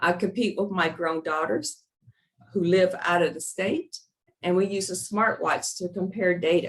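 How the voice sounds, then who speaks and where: This woman has a plain, everyday voice at a medium pitch. She talks at a fairly slow pace with ordinary pitch variation. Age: 60s. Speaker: physician. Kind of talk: webinar presentation. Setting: online webinar.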